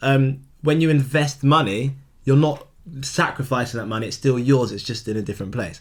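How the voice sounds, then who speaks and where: A man with an ordinary speaking voice talks fairly quickly at a medium pitch, using ordinary pitch variation. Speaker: podcast co-host. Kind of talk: casual chat.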